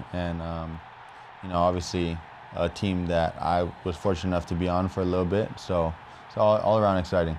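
A man's very deep, low pitch in a monotone, flat intonation at a fairly quick pace, over light background noise. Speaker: professional football player. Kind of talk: interview. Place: studio. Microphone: lapel.

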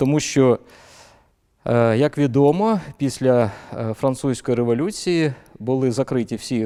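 The recording is dry and close, with no echo. A man's tone comes across dark and mellow. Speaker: history professor. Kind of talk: academic interview. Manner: measured, formal.

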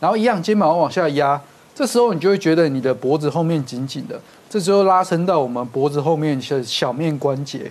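Using an unremarkable speaking voice, a man speaks at a fairly quick pace with a fairly high pitch and lively intonation. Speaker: rehabilitation physician; guest. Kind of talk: TV health talk show explanation. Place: studio. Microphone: lapel.

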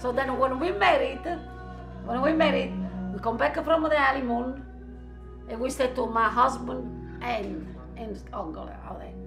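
Clear music plays behind a woman speaking at a moderate pace with an Italian accent. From Italy. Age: old. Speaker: grandmother interviewed in documentary; interviewee. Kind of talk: casual interview; interview answer. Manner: halting. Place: home room.

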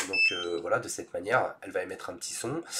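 A man talks at a moderate pace with ordinary pitch variation. His fairly bright tone has a slightly husky edge.

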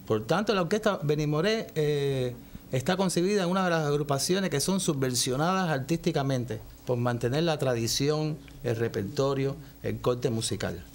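Light background noise behind a man at a moderate pace. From Cuba. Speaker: saxophonist in a big band. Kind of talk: TV interview; interview answer. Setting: TV studio. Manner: hesitant, with fillers. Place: studio.

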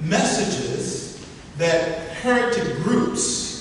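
A man talks at a high pitch with lively intonation. Strong room echo surrounds him, along with light background noise. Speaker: workshop teacher. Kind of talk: lecture. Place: hall. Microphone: camera far.

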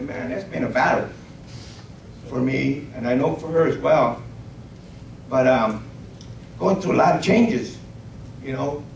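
With vocal fry and a slightly mellow tone, a man at medium pitch talks at a fairly slow pace with ordinary pitch variation, long, frequent pauses and audible room echo.

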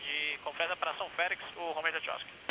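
With noticeable background noise around him, a man speaks at a fairly slow pace in a high pitch. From Brazil. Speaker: airline pilot. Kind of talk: cockpit checklist callouts and radio call. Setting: cockpit. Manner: terse, clipped, monotone. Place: plane. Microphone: headset.

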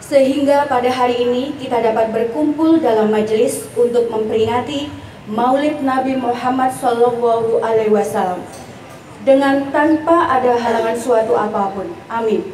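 Moderate pace and ordinary pitch variation, with audible room echo and light background noise. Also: woman, high pitch for a woman. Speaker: master of ceremonies. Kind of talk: formal religious event hosting. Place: tent.

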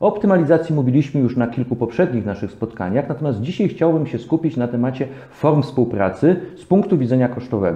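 With a quiet background and audible room echo, a man talks at a very fast pace with big swings in loudness. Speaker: legal talk show host. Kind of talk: interview. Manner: formal. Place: studio. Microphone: lapel.

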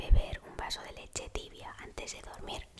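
Someone female whispers throughout the clip. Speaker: ASMR creator. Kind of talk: ASMR sleep tips talk. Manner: whispered. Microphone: studio mic.

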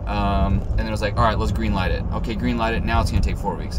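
Loud background noise runs beneath a man's speech. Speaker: home builder vlogger. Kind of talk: casual vlog chat. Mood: relaxed, storytelling. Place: car. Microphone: phone near.

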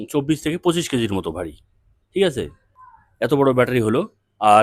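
A man talks at a medium pitch with vocal fry. His pitch swings very widely. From North Bengal, India (Dhupguri, Jalpaiguri). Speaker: EV battery seller and YouTuber. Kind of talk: product demo video. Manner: casual, repetitive fillers.

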